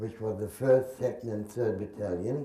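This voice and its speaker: A man's medium-pitched, dark, mellow voice, somewhat breathy, with audible room echo. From Germany, Berlin. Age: 80s+. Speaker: Holocaust survivor and war veteran. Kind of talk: testimony. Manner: halting.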